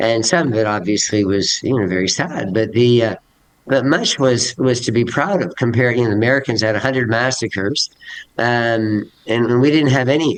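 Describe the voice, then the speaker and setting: A man with a medium-pitched voice speaks at a moderate pace. His loudness stays very even, and his pitch variation is ordinary. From Canada. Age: 60s. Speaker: teacher. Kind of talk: interview. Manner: halting.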